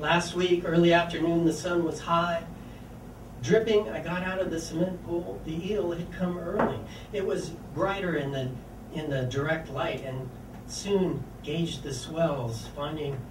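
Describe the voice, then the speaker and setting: There is noticeable background noise as a man talks at a fairly slow pace. His voice is high, with ordinary pitch variation. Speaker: featured poet. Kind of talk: poetry reading. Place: cafe. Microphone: camera far.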